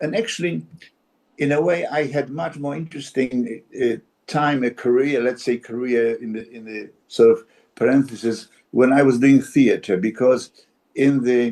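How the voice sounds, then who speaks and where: A man's medium-pitched voice, dark and mellow, fairly slow, with ordinary pitch variation and big swings in loudness. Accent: Polish. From Poland. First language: Polish. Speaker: actor. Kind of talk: interview conversation. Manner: halting, many repetitions.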